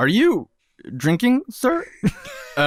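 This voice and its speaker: With a Korean accent, a man's voice moves in very wide pitch swings, and the sound is dry and close with no echo. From South Korea. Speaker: podcast panelist. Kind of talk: casual chat.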